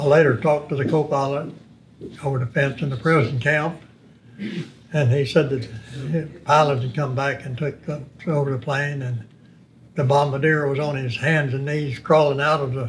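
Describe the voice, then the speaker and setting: In an East Texas accent, a man with a fairly high pitch speaks at a moderate pace in a somewhat breathy, monotone, flat voice, with long, frequent pauses. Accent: Southern US (East Texas). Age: 90s. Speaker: war veteran. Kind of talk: interview.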